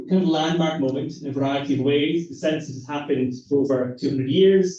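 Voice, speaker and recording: A man's fairly high, somewhat breathy voice with a dark, mellow tone and a Scottish accent. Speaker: academic researcher. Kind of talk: lecture.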